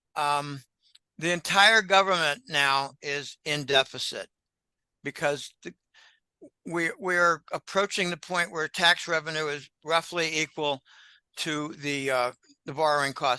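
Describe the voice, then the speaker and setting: A man's voice, fairly high in pitch and bright and sharp in tone, keeps fairly even intonation with long, frequent pauses. The sound is dry and close with no echo, over a quiet background. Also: fairly slow pace. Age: old. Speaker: economic analyst. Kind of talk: interview. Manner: halting.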